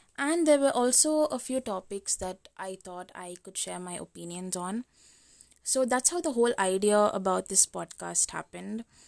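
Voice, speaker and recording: A woman's plain, everyday voice, big swings in loudness and lively intonation, very clean recording with a silent background, dry and close with no echo. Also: medium pitch for a woman, moderate pace. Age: 20s. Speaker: podcast host. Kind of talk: casual solo monologue. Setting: recording at home at midnight.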